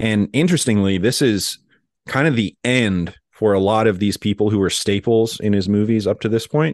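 In a plain, everyday voice, a man with a fairly low pitch speaks at very even loudness with ordinary pitch variation, the sound dry and close with no echo over a quiet background. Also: moderate pace. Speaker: film podcast co-host. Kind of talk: casual chat.

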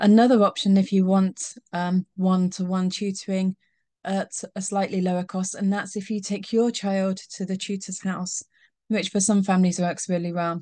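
A woman's somewhat breathy voice, dark and mellow in tone, monotone and flat, at a moderate pace. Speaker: tutoring business owner. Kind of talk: explainer talk to parents. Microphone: webcam.

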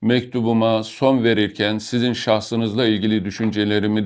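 Against a quiet background, the speech moves at a fairly slow pace in a monotone, flat intonation. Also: man. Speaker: retired army colonel. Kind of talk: reading aloud. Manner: formal.

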